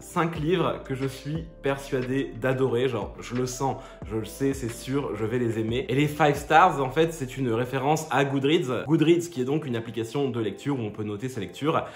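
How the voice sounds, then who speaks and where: A man talks at a moderate pace with ordinary pitch variation, while music plays in the background and room echo is audible. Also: medium pitch for a man. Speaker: book reviewer vlogger. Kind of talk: casual book review vlog. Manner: hesitant, many filler sounds.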